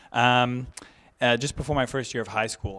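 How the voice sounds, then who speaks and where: The tone is bright and sharp, on a very clean recording with a silent background. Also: man. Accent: American. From Michigan, US Midwest. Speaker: climate activist. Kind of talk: speech. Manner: soft-spoken.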